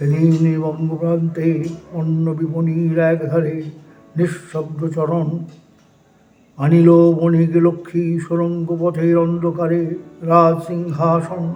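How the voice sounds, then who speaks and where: Monotone, flat intonation marks a man's speech at a high pitch. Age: 80s+. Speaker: poetry reciter. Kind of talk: poetry reading.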